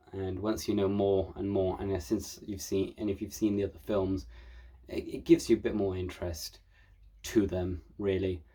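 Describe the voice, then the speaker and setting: The speaker is a man with fairly low pitch and a dark, mellow tone. He sounds somewhat breathy and talks at a fairly quick pace. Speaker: film reviewer. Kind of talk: casual film review monologue. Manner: fast.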